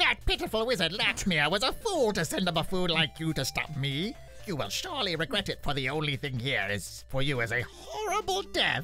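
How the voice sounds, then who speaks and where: Someone performs a put-on character voice. Clear music plays in the background. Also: fairly quick pace, hardly any pauses. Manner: menacing; maniacal.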